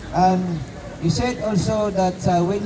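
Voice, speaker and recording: Fairly slow speech with ordinary pitch variation over noticeable background noise. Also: man. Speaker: street preacher. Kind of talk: street preaching sermon. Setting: outdoors in a city park. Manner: halting, with filler words and repetitions.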